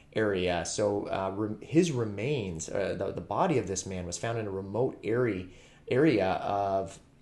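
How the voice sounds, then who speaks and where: This is a man with an ordinary speaking voice. His pitch is fairly low and varies in an ordinary way. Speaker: true crime channel host. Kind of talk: commentary. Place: home room. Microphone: webcam.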